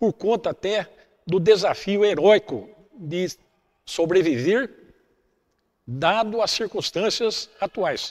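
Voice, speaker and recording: With a dry, close sound and no echo, a man speaks at a high pitch and a very slow pace, with ordinary pitch variation and long, frequent pauses. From Brazil, Caçapava (São Paulo state). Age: 70s. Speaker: former club athlete. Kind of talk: documentary testimony. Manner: halting, many fillers.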